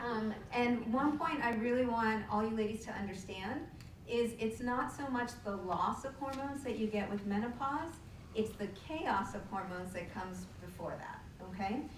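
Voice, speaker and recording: A woman with a fairly high voice speaks at a moderate pace with ordinary pitch variation. Audible room echo and noticeable background noise are present. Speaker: endocrinologist. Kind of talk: lecture.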